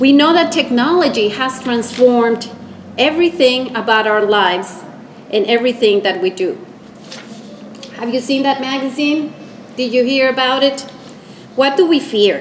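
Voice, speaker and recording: A woman speaks at a high pitch and a moderate pace, with long, frequent pauses. Noticeable background noise and audible room echo fill the recording. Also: ordinary pitch variation. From Costa Rica. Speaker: public service leader, lecture speaker. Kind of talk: lecture.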